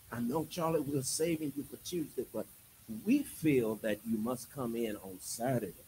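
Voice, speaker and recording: The voice is dark and mellow, somewhat breathy, with ordinary pitch variation. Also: man, medium pitch for a man, moderate pace. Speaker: preacher. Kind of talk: sermon. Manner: animated.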